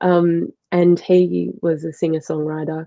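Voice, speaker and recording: This woman has an Australian accent and speaks at a fairly low pitch with a monotone, flat intonation. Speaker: musician. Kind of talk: interview.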